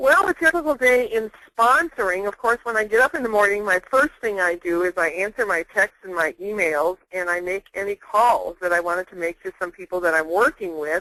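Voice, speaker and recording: The speech moves at a fairly quick pace with a bright, sharp, upbeat tone. The sound is dry and close, with no echo. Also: woman, medium pitch for a woman, lively intonation. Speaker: network marketing distributor. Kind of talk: webinar interview.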